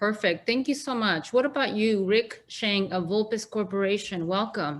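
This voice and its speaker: A woman with a Mexican accent, fairly high-pitched, at a moderate pace with ordinary pitch variation. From Mexico, Guanajuato. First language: Spanish. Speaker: panel moderator. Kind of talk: moderated panel discussion. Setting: virtual event.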